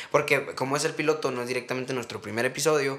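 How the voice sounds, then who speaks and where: A man at medium pitch, flat and monotone. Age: 20s. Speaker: podcast co-host. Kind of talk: casual chat.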